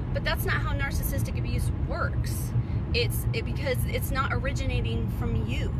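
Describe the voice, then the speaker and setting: A woman is speaking. The sound is dry with no echo, but there is loud background noise. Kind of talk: casual vlog chat. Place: car. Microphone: phone near.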